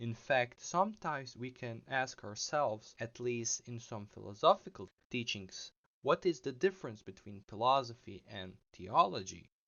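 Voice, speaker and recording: The speaker has a non-native accent, lively intonation and big swings in loudness. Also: man, medium pitch for a man, moderate pace. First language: not English. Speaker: philosophy video essayist. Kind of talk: video essay narration.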